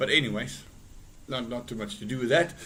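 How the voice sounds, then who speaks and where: A man's bright, sharp voice at a fairly quick pace, with fairly even intonation. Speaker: forex trader streaming live trades. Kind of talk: live trading tutorial. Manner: casual, with frequent fillers and repeats; loud at times.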